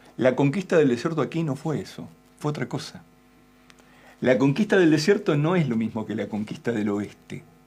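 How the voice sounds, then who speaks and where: There is music in the background. A man with a fairly high pitch talks in very wide pitch swings. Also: moderate pace. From Argentina. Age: 60s. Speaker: political commentator. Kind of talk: interview.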